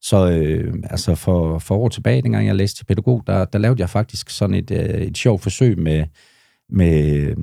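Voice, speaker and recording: Very deep and low in pitch, a man's dark, mellow voice moves fairly slowly with lively intonation. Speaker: bouncer and social worker. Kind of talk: casual interview chat.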